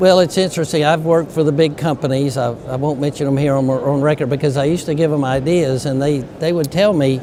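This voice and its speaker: Amid noticeable background noise and audible room echo, a man with a fairly high pitch talks at a very fast pace with hardly any pauses and fairly even intonation. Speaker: medical device inventor and company CEO. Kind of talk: interview. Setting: conference.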